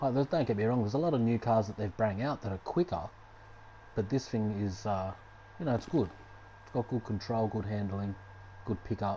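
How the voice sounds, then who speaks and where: A man with an Australian accent speaks in a fairly low pitch at a fairly quick pace, relaxed in tone, with ordinary pitch variation and long, frequent pauses. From Australia, Sydney. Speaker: gaming streamer. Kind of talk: live stream gameplay commentary. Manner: casual, relaxed.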